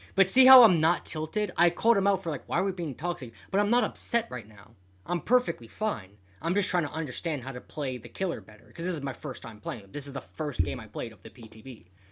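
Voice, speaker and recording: The recording is very clean with a silent background. The speech moves at a very fast pace. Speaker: gaming streamer. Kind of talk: video commentary. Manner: stuttering repetitions.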